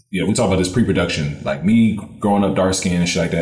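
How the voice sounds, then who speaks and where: There is noticeable background noise behind a man whose pitch varies in an ordinary way. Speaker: podcast co-host. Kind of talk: casual chat.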